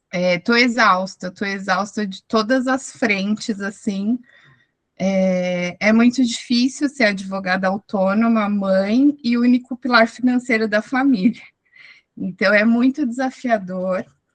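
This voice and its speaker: Here a woman talks at a very slow pace with a fairly high pitch and ordinary pitch variation. Her voice is somewhat breathy. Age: 30s. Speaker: self-employed lawyer and mother. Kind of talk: testimony in online support meeting.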